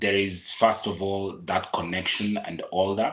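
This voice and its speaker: At a very slow pace, a man with a Kenyan accent speaks in a fairly low pitch with monotone, flat intonation. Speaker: podcaster. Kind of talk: casual chat.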